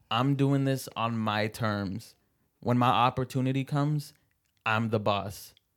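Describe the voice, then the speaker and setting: Speaking with an American accent at a fairly slow pace, the man has a medium pitch, fairly even intonation and an ordinary speaking voice. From Seattle. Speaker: stand-up comedian. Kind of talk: casual chat.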